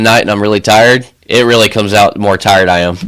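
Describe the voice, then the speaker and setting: A man with an American accent. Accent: slight Southern drawl, usually hidden. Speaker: podcast co-host. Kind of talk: casual chat.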